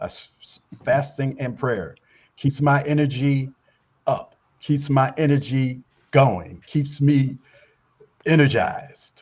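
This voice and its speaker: Someone speaks very slowly and somewhat breathily, with fairly even intonation, big swings in loudness, and long, frequent pauses. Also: man. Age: 70s. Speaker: guest, newspaper publisher and military consultant. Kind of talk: talk show interview. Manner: halting, many repetitions and fillers.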